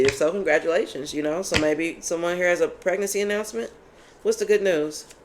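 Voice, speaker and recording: An animated woman with an American accent and ordinary pitch variation, over noticeable background noise. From Kentucky. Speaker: tarot reader. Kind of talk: tarot reading. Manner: animated, loud; casual conversational.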